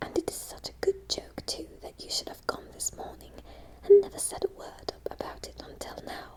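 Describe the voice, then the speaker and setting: A whisper comes through against noticeable noise in the background. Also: moderate pace. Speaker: ASMR narrator. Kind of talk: audiobook reading of a classic novel. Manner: whispered, soft-spoken.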